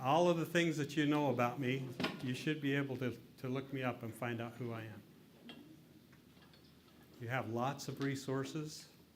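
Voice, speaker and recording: A man with a western US accent talks at a medium pitch and moderate pace with fairly even intonation. Long, frequent pauses break up his speech, and room echo is audible. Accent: western American. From Utah. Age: 60s. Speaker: lecturer, former state politician. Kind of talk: interactive lecture.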